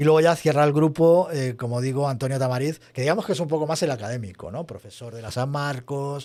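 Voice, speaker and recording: A man talks at a fairly quick pace with a fairly high pitch. His tone is dark and mellow. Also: ordinary pitch variation, hardly any pauses, big swings in loudness, very clean recording, silent background. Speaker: podcast host and association treasurer. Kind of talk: casual chat.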